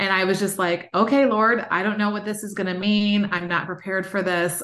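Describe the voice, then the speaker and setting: This woman has a plain, everyday voice, fairly even intonation and a moderate pace. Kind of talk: casual chat.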